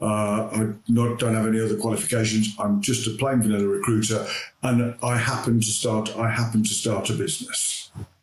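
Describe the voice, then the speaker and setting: A man talks fairly quickly at a medium pitch, with monotone, flat intonation and very even loudness. There is noticeable background noise. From Birmingham, England. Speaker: recruitment business founder. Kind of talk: interview. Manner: halting.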